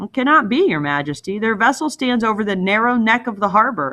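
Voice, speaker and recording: A female-sounding put-on character voice runs fairly high in pitch at a fairly quick pace. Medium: read story. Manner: strangled with fright.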